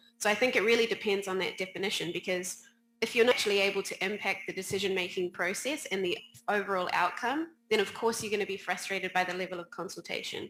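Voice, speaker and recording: With a New Zealand accent, a woman speaks at a very fast pace in a medium pitch with ordinary pitch variation. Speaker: players' union policy director. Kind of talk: panel discussion.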